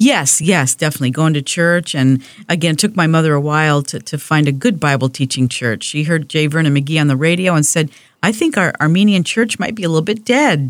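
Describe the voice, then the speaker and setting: On a very clean recording with a silent background, a woman with a very deep, low pitch talks at a fairly quick pace, her pitch varying in an ordinary way. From California. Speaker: pastor's wife. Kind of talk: testimony.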